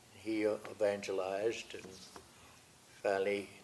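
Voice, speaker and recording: A man with an American accent, at a fairly slow pace. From US Midwest, Missouri and Illinois. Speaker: retired pastor and evangelist. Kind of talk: testimony.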